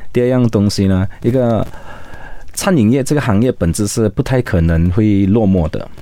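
Here a man with a plain, everyday voice and a fairly low pitch talks at a moderate pace, with ordinary pitch variation and very even loudness. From Malaysia, Sarawak (Kuching). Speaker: restaurant founder, entrepreneur. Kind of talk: interview.

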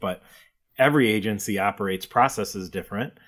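With a normal speaking voice, a man talks in a fairly low pitch and ordinary pitch variation on a very clean recording with a silent background. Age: 40s. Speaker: insurance agency owner. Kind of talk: casual interview.

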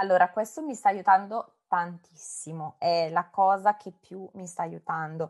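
A woman speaks at a fairly slow pace and medium pitch with hardly any pauses, her pitch varying in an ordinary way. Her loudness swings widely, and the sound is dry and close with no echo. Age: 30s. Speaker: primary school teacher and singer with cancer. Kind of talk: interview testimony.

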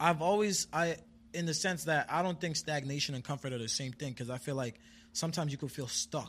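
An ordinary speaking voice from a man, fairly high in pitch, fairly quick, with ordinary pitch variation, in a very clean recording with a silent background. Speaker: rapper and poet. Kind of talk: casual interview chat.

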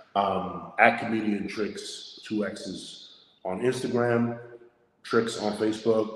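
A man speaks very slowly in a fairly low, monotone voice with flat intonation, and room echo is audible. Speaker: stand-up comedian. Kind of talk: casual chat.

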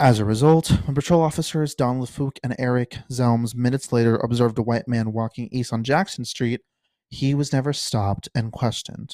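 In an unremarkable speaking voice, a man talks at medium pitch and a fairly quick pace with ordinary pitch variation, in a dry, close, very clean recording with a silent background and no echo. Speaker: podcast host. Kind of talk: true-crime narration, reading case facts aloud. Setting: home recording, solo podcast. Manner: steady, measured, informational delivery with occasional casual asides.

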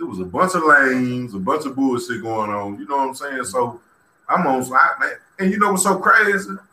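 With audible room echo, a man speaks fairly quickly at medium pitch, his voice making very wide pitch swings. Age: 30s. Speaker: guest, former prisoner. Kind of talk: casual conversation on a livestream. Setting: live video stream. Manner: halting, repetitive fillers.

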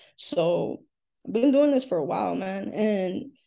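A woman speaks at a fairly slow pace with an American accent. Her voice is dark and mellow, at a medium pitch. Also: quiet background. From US South, Miami, Florida. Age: 20s. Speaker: independent singer and musician. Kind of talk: casual interview.

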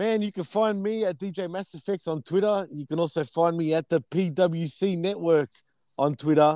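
A man with an Australian accent speaks at a moderate pace in a high pitch with ordinary variation. His tone is dark and mellow, the sound dry and close with no echo. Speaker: DJ. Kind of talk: casual chat.

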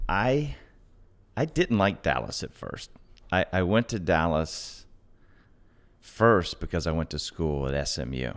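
With vocal fry and very wide pitch swings, a man talks at a fairly slow pace with long, frequent pauses over a very clean recording and a silent background. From US South, Atlanta, Georgia. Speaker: real estate investor. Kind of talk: casual interview.

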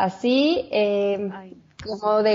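A woman with a Mexico City accent talks at a medium pitch. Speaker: chef and health coach. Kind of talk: interview, personal testimony.

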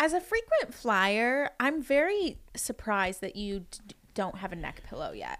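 In an American accent, the speaker moves at a moderate pace, with very wide pitch swings and big swings in loudness. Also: woman, high pitch for a woman. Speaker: esthetician student. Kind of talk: casual chat.

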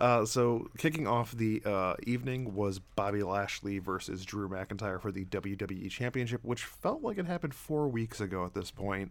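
A quiet man with a fairly low pitch, ordinary pitch variation, a moderate pace and hardly any pauses, in a very clean recording with a silent background. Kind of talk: casual chat.

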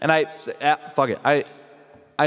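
A man with a Swedish accent speaks over noticeable background noise. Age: 30s. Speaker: vocal coach and metal singer. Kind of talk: casual interview. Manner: halting, with many repeated words.

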